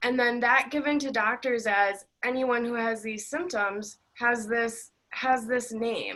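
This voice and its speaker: Loud and bright, sharp in tone, the voice moves at a fairly slow pace. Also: woman. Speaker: interviewer on mold illness. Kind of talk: interview discussion.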